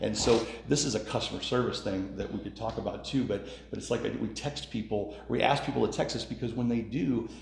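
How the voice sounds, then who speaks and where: Fairly quick male speech at medium pitch, ordinary pitch variation and audible room echo. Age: 50s. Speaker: contractor and small business owner. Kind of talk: interview. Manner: casual.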